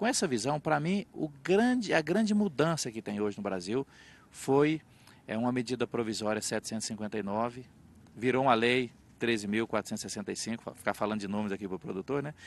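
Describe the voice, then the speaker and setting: In a dry, close sound with no echo and a quiet background, a man at a medium pitch talks at a very fast pace with lively intonation. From Minas Gerais, Triângulo (Carneirinho, near São Paulo/Goiás/MS border). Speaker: politician. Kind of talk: interview. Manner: halting, with repetitions.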